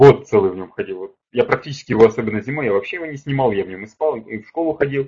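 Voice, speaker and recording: A man talks at a very fast pace with hardly any pauses, his voice somewhat breathy and dark and mellow in tone. His pitch sits in the medium range, his intonation is lively, and his loudness swings widely. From Ukraine, Kharkiv. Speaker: public speaking coach. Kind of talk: webinar. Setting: online webinar. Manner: animated.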